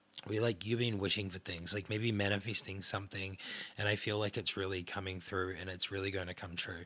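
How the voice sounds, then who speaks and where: A soft-spoken man talks at a fairly quick pace with fairly low pitch and a bright, sharp tone. His intonation is monotone and flat, and the recording is very clean with a silent background. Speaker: tarot card reader. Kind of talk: tarot reading. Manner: hesitant, many fillers.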